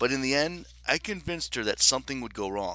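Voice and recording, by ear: The text is read aloud in a natural voice, the intonation lively.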